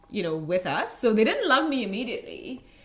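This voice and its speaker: At a moderate pace, a woman is speaking. Noticeable background noise can be heard. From India, Goa. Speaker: head of HR at a tech startup. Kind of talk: interview.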